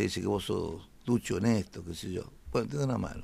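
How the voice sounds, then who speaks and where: This is a man with a medium pitch. He speaks at a moderate pace. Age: 70s. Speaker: former football club president. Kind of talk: radio interview. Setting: radio studio.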